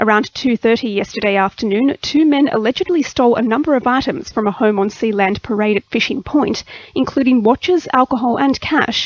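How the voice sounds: A woman's fairly high voice at a fairly quick pace, with few pauses, ordinary pitch variation, and a dry, close sound with no echo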